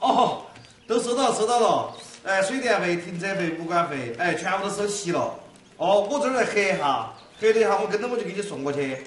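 A man with a high voice and a Sichuan accent talks fairly quickly with lively intonation. Audible room echo and light background noise accompany him. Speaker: TV sitcom actor. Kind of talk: phone call in sitcom scene. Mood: cheerful, polite. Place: office.

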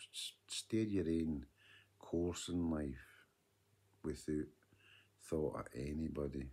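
In a west of Scotland accent, the speaker talks very slowly with long, frequent pauses, ordinary pitch variation and a dark, mellow tone. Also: man, very deep, low pitch for a man. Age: 50s. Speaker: vlogger. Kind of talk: video diary monologue. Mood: earnest, advising. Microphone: phone near.

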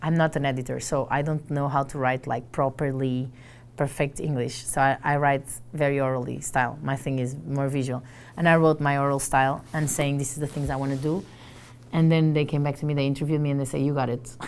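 A speaker with a Portuguese accent talks at a fairly quick pace in a monotone, flat intonation. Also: woman, very deep, low pitch for a woman. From Portugal. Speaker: journalist and trainer. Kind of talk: casual interview. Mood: animated, friendly. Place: office. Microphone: lapel.

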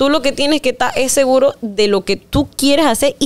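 In a strong Panamanian accent, a woman talks at a fairly quick pace with ordinary pitch variation. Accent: Panamanian rural accent, strong. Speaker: singer; interviewee. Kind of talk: interview. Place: studio. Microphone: studio mic.

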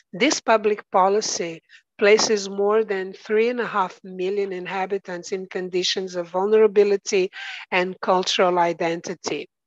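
In a Portuguese accent, a woman speaks at a fairly slow pace with medium pitch and monotone, flat intonation. The sound is dry with no echo, and the background is quiet. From Angola. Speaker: architecture researcher and teacher; teacher. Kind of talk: conference panel presentation. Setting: video call. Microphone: video call.

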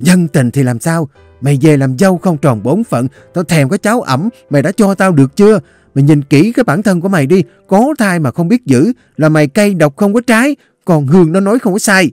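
A man shouts in a shrill, put-on character voice pitched high, with very wide pitch swings. He keeps a moderate pace over faint music in the background. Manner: screaming, scolding.

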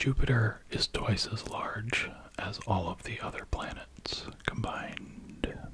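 A man's whispering at a very slow pace. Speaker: ASMR creator. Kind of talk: ASMR sleep video, reading facts. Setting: close-up binaural microphone. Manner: soft-spoken. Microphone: studio mic.

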